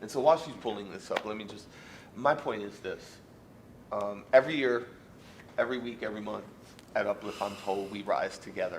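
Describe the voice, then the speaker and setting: A man's fairly low voice at a fairly quick pace, with big shifts in loudness, ordinary pitch variation, long and frequent pauses, and noticeable background noise. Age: 40s. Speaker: fired teacher appealing dismissal. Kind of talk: grievance hearing testimony. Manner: halting, repetitive.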